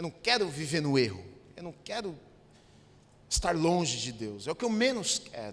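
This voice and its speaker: A man speaks at a moderate pace in a fairly high, animated voice, his pitch swinging very widely and his loudness rising and falling sharply, with long, frequent pauses. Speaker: pastor. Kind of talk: sermon.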